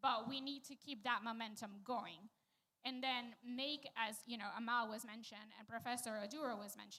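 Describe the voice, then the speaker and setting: A woman speaks at a moderate pace with fairly high pitch and fairly even intonation. Her tone is bright and sharp, and her loudness swings widely. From Venezuela. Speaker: panelist, quantum scientist. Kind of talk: panel discussion.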